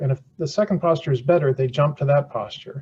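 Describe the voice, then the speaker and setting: A man's voice sits at a fairly high pitch and is somewhat breathy. His pitch varies in an ordinary way. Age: 70s. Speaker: surgeon and chair inventor. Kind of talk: podcast interview. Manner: repetitive false starts; animated.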